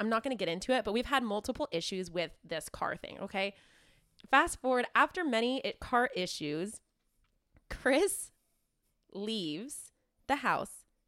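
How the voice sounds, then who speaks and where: A woman talks at a moderate pace in a fairly high pitch. Her pitch swings very widely. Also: very clean recording, silent background. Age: 20s. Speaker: podcast co-host. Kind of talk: casual chat.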